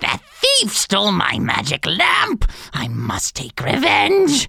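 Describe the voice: A put-on character voice moves slowly through very wide pitch swings, with a bright, sharp tone and a slightly husky edge. Vocal fry shows up, and the sound is dry and close with no echo.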